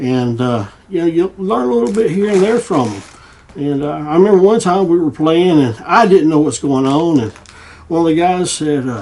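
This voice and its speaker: A man speaks with a Southern US accent and lively intonation at a moderate pace. Noticeable background noise runs behind him. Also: fairly high pitch for a man. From US South, Tennessee. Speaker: guitar repair hobbyist and YouTuber. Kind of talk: casual vlog chat. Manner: halting, repetitive fillers.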